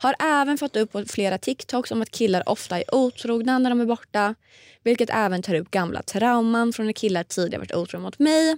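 Recorded very cleanly against a silent background, with a dry, close sound and no echo, a woman uses a normal speaking voice at a fairly high pitch and fairly quick pace, with ordinary pitch variation. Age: 20s. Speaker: podcast co-host. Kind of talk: casual chat. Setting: studio.

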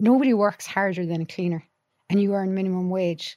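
With a very clean recording and a silent background, a woman in a Cork accent talks at a fairly quick pace with medium pitch. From Ireland, County Clare. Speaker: psychologist and university lecturer. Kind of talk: casual chat. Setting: studio.

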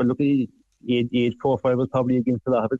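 A man with a Cork accent and a dark, mellow tone talks at a very fast pace in a monotone, flat intonation. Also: dry, close sound with no echo. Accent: Irish (Cork). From southwest Ireland. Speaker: farmer. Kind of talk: interview. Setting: phone call.

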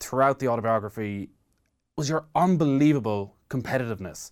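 A man in an Irish accent, medium-pitched and fairly quick, with lively intonation on a very clean recording and a silent background. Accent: Irish (Mayo). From Ireland, County Mayo. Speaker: sports radio presenter. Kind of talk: interview. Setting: studio.

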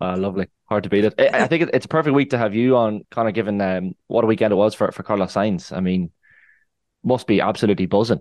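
Very fast speech with ordinary pitch variation, dry and close with no echo, over a quiet background. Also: man, fairly low pitch for a man. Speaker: podcast presenter. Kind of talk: casual chat.

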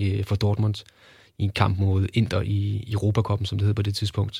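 Somewhat breathy and fairly low, a man's voice comes through on a very clean recording against a silent background. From Denmark, Kolding. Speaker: sports journalist. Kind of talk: casual interview. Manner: halting, many fillers.

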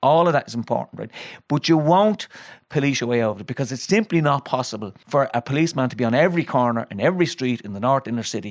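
Someone with a Dublin accent talks at a very fast pace with lively intonation over a quiet background. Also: man, medium pitch for a man. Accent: Dublin Irish. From Dublin, Ireland. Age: 50s. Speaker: retired prison governor. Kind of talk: casual chat. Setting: studio.

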